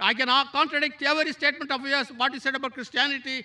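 A man's raised, projected voice, extremely high in pitch, at a very fast pace with fairly even intonation. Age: 60s. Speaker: audience member asking a question, retired lecturer; audience member, retired lecturer. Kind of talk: audience question at a public lecture. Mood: challenging, earnest. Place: hall. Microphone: handheld.

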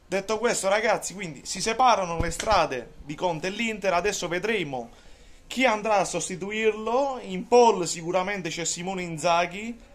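A man speaks loudly at a high pitch. His pitch variation is ordinary, with light background noise. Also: moderate pace. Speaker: football commentator and Juventus fan vlogger. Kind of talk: angry rant. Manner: loud, sarcastic and mocking, ranting with emphatic repetition. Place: kitchen. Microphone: phone near.

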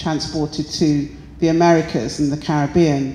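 Audible room echo surrounds a woman speaking with a British accent. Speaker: artist. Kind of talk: artist interview. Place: hall. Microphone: handheld.

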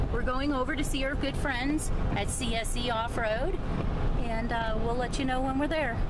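A woman talks at a moderate pace with ordinary pitch variation. Loud background noise runs behind her. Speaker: jeep vlogger on road trip. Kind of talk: casual vlog chat. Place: car. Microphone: phone near.

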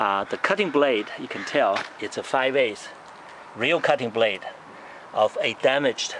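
A man talks at a moderate pace in a dry sound with no echo, with light background noise. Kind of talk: casual show-and-tell commentary. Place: street. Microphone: phone near.

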